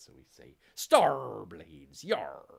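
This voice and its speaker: The speaker uses a put-on character voice. It is very deep, low-pitched and raspy. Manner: playful.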